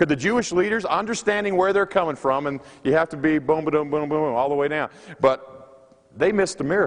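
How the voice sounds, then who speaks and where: A man talks at a fairly quick pace in a plain, everyday voice. His pitch is fairly high, with ordinary variation. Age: 40s. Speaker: pastor. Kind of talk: sermon. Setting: chapel service.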